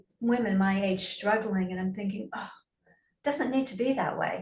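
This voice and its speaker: A woman at a medium pitch speaks at a moderate pace, with audible echo in the room. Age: 70s. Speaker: prospective yoga therapy student. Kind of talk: casual chat. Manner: halting.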